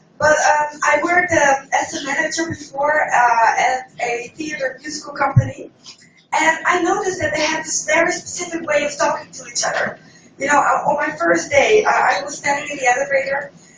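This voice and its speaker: Music plays in the background as a woman speaks at a moderate pace. Her voice is high, with ordinary pitch variation. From Netherlands. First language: Dutch. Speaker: stand-up comedian. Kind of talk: stand-up. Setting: stage with audience.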